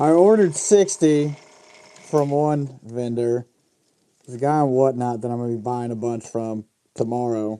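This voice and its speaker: The speaker keeps a moderate pace, broken by long, frequent pauses. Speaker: fishing lure painter streaming. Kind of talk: live stream tutorial chat. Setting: live stream workshop. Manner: muffled by mask.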